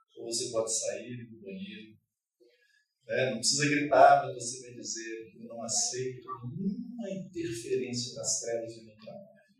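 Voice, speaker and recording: Big swings in loudness run through this man's fairly slow speech. Room echo can be heard. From Rio de Janeiro, Brazil. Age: 60s. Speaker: preacher. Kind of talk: sermon.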